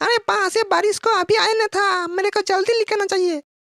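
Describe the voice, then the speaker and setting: A cartoonish character voice at an extremely high pitch moves along at a fairly quick pace. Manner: excitable, complaining.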